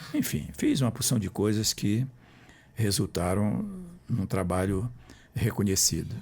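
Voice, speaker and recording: On a very clean recording with a silent background, a man speaks fairly slowly in a fairly low voice with vocal fry. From Brazil, Roraima (Boa Vista). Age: 70s. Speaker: author and historian, former mayor. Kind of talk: interview. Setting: radio studio.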